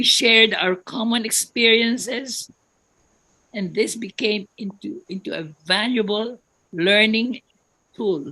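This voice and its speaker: A woman with a bright, sharp tone and medium pitch speaks at a fairly slow pace. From Philippines. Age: 90s. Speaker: retired religious sister, musician. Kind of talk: personal testimony.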